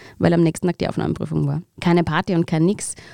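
A woman is speaking on a very clean recording with a silent background. The sound is dry and close with no echo. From Austria, Upper Austria (Mühlviertel). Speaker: actress. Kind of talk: interview.

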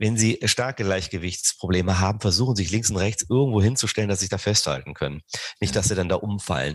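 A man's fairly low voice at a very fast pace, with very even loudness and a quiet background. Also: ordinary pitch variation. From southern Rhineland, Germany. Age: 40s. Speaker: sports scientist, professor. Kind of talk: interview. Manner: hesitant, many fillers.

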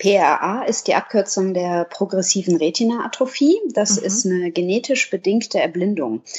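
Here is a woman with an ordinary speaking voice at a medium pitch. She talks at a moderate pace with ordinary pitch variation. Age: 30s. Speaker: dog blogger, office clerk. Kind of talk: casual interview. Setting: indoors.

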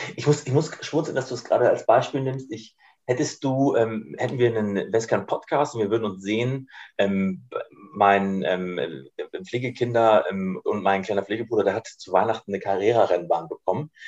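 This man's medium-pitched voice moves at a moderate speed, its pitch varying in an ordinary way. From northern Germany, Schleswig-Holstein. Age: 20s. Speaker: insurance partnerships manager. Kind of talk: casual interview chat. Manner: halting.

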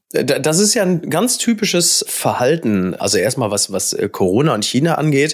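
A man with a fairly high pitch and vocal fry speaks at a moderate pace with hardly any pauses, his pitch swinging very widely while his loudness stays very even. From Ruhr area, Germany (Recklinghausen). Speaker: journalist and TV host. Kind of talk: casual chat.

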